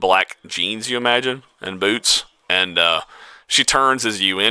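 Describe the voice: Ordinary pitch variation in plain reading aloud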